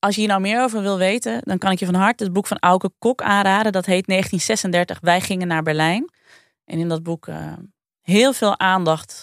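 A woman speaks in a normal speaking voice at a medium pitch and moderate pace, with ordinary pitch variation. The sound is dry and close with no echo, and the recording is very clean with a silent background. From Friesland, Netherlands. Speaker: podcast co-host. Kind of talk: storytelling.

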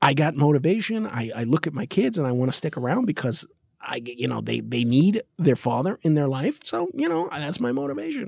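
At a fairly quick pace, a man talks with fairly high pitch and lively intonation. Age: 50s. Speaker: podcast co-host. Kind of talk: casual chat.

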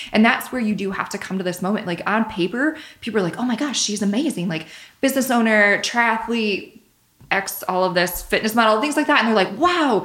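An ordinary speaking voice from a woman with an American accent, fairly high in pitch, at a fairly quick pace, with lively intonation. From Michigan. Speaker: personal trainer and nutritionist. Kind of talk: casual chat.

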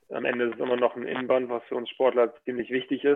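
The delivery is very fast. Its intonation stays monotone and flat. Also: man. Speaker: professional handball player. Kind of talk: casual interview.

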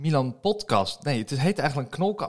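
Lively intonation marks this man's speech. His voice is fairly high. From Drenthe, Netherlands (Assen). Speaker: podcast host. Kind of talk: casual interview. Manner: hesitant, many fillers.

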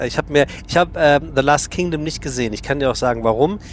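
A man's fairly high voice comes through against noticeable background noise. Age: 40s. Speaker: podcast host. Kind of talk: casual interview. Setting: on a regional train.

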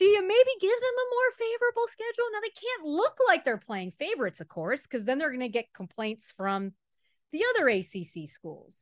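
A woman with an American accent, extremely high pitch, very wide pitch swings, big swings in loudness and a fairly quick pace, in a dry, close sound with no echo. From Miami, Florida. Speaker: sports reporter. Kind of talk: casual interview.

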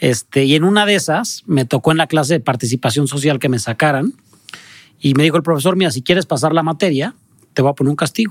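Very fast speech from a man with a fairly high pitch, ordinary pitch variation and very even loudness, dry and close with no echo on a very clean recording with a silent background. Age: 30s. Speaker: charity founder. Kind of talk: casual interview.

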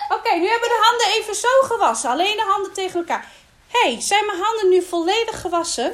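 A woman speaks at a very fast pace. Her voice is extremely high in pitch, with ordinary pitch variation. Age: 30s. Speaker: kindergarten teacher. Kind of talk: classroom talk.

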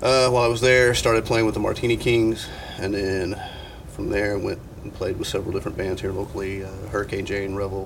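A fairly low-pitched man at a fairly quick pace, fairly even in intonation, amid noticeable background noise. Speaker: drummer. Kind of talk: casual interview.

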